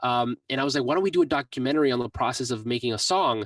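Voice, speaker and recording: A man with an American accent and medium pitch uses a normal speaking voice with ordinary pitch variation, in a dry, close sound with no echo. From Mexico, raised in the US from about age six. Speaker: music producer and YouTuber. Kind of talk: interview.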